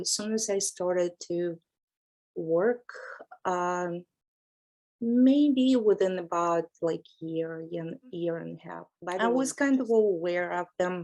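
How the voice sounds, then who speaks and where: The speaker has a non-native accent. Every word comes at a very slow pace. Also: woman. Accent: foreign. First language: not English. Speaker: massage therapist and instructor. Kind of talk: interview.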